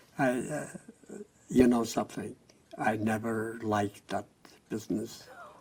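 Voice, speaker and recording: Noticeable background noise accompanies a man who speaks with long, frequent pauses. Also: medium pitch for a man, fairly even intonation, fairly slow pace. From Germany, near Frankfurt. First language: German. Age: 80s+. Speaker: Holocaust survivor. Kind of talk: oral history interview.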